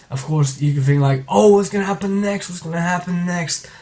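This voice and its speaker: A quiet, somewhat breathy man speaks with ordinary pitch variation. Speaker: manga reviewer. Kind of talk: video review commentary. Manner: subdued, halting.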